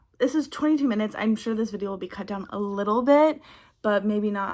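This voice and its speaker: A woman with an American accent uses a plain, everyday voice at a fairly high pitch with ordinary pitch variation, in a very clean recording with a silent background. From Texas. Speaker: vlogger and aspiring actress. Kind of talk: casual talk to camera.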